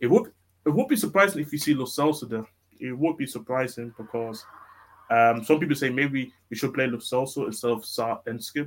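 It is an unremarkable speaking voice with ordinary pitch variation. The pace is fairly quick. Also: man, medium pitch for a man. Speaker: co-host or viewer chatting. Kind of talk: casual banter. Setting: live stream.

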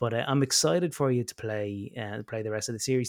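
A man's voice on a very clean recording against a silent background. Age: 30s. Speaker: podcast co-host. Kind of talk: casual chat. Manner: halting.

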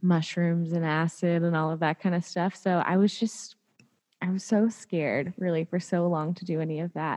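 Against a quiet background, a woman with an unremarkable speaking voice talks at a moderate pace and fairly low pitch, with fairly even intonation and a dry, close sound with no echo. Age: 30s. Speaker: attorney and podcaster. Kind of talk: casual interview chat.

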